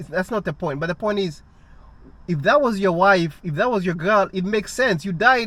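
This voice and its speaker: The voice carries an African accent and a bright, sharp tone. Its intonation is lively. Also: man. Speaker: vlogger and rideshare driver. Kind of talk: casual monologue vlog. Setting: sitting alone at night. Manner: halting, many restarts.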